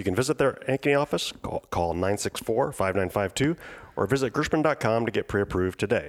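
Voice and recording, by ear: A man speaks at a fairly quick pace. His pitch sits fairly low. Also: lively intonation.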